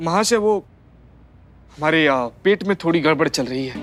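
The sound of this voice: In a put-on character voice, a man speaks husky and hoarse at a fairly high pitch and fairly quick pace, with lively intonation.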